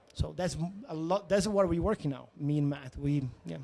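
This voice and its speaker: A man speaks with a Portuguese accent at a moderate pace. His tone is dark and mellow. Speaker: tech startup founder. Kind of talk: interview. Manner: halting, searching for words.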